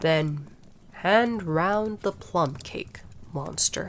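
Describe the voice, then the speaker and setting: A growling, put-on character voice sits at a middle pitch and moves at a very slow pace. Clear background noise is present. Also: female-sounding voice. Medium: read story. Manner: lazy, yawning, growling.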